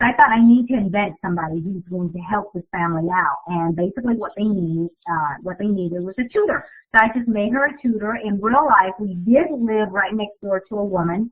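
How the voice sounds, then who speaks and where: With a Vietnamese accent, a woman of medium pitch talks at a fairly quick pace with hardly any pauses and ordinary pitch variation. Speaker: author. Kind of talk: Q&A with students.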